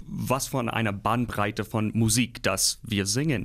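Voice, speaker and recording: Speaking with an English accent, a man keeps a medium pitch and ordinary pitch variation at a moderate pace. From US Midwest. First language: English (speaking German). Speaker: opera singer. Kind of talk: interview.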